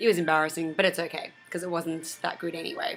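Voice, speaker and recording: An Australian accent comes through as a woman speaks in a fairly low pitch with music in the background. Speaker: vlogger. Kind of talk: casual vlog monologue. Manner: animated.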